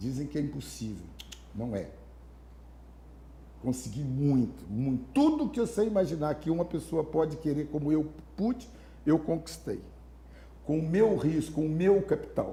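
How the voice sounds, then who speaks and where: A man at a moderate pace, broken by long, frequent pauses. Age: 60s. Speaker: mayoral candidate and businessman. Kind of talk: interview. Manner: animated.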